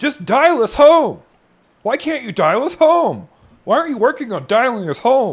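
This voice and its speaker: A man's put-on character voice, extremely high in pitch, raised and projected, with very wide pitch swings at a moderate pace. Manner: whiny, demanding, exasperated.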